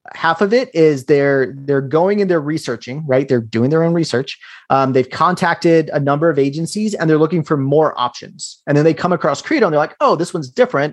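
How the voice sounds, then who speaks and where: A man with a normal speaking voice talks at a fairly quick pace with hardly any pauses, his fairly high pitch showing ordinary variation over a quiet background. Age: 30s. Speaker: digital marketing entrepreneur. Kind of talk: casual interview.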